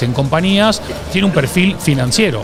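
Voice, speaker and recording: Music plays in the background as a man speaks with an Argentine accent. His intonation is lively and his pace moderate. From Argentina. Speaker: branding expert and author. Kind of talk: interview.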